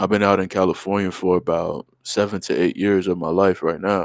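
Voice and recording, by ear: Recorded dry and close with no echo, a man speaks low and fairly quickly, with vocal fry and fairly even intonation.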